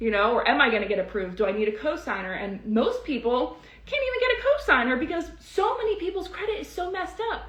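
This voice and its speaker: Speaking very fast in an animated tone, a woman with a high pitch makes very wide pitch swings over noticeable background noise and audible room echo. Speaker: credit repair educator. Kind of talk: live stream teaching and sales pitch. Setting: live stream.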